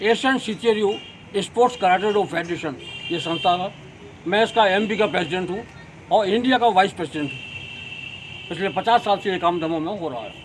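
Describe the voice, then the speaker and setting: A man with a high pitch talks at a moderate pace, with ordinary pitch variation and big swings in loudness. He leaves long, frequent pauses, with noticeable background noise. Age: 80s+. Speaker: martial arts coach. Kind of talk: interview statement.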